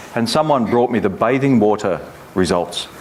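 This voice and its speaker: A medium-pitched man with an Australian accent, moderate pace, and noticeable background noise. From Australia, Melbourne. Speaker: environmental agency head. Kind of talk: keynote speech.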